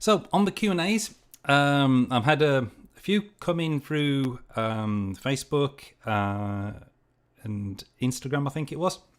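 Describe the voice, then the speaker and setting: Very wide pitch swings mark a man's fairly high voice at a very slow pace. The recording is very clean, with a silent background. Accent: English. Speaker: project management youtuber. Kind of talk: livestream Q&A. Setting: livestream. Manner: hesitant, many fillers.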